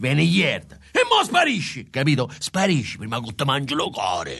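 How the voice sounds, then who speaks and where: A man's raspy, put-on character voice, shouting at a moderate pace with very wide pitch swings and fairly high pitch. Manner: irritable, snapping, shouting.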